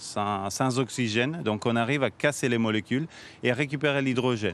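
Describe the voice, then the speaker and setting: A man talks at a medium pitch. He has a slight Italian accent. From Switzerland, Italian background. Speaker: NGO founder and CEO. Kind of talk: TV interview. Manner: halting, many fillers and restarts.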